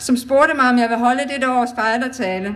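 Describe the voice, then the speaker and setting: A woman with a high voice talks fairly slowly with ordinary pitch variation, and audible room echo surrounds her. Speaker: cancer survivor speaking at charity event. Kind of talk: public speech. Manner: trembling voice.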